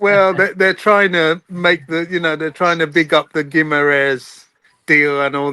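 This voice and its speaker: A man speaks at a fairly slow pace in an English accent. His tone is bright and sharp, and his intonation fairly even. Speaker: football fan. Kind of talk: casual chat. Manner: quiet.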